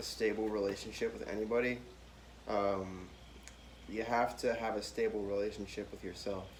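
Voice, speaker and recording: The man speaks at a fairly quick pace and a medium pitch, with ordinary pitch variation. Audible room echo surrounds his voice. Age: 20s. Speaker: college student, podcast guest. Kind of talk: casual chat. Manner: halting, many fillers.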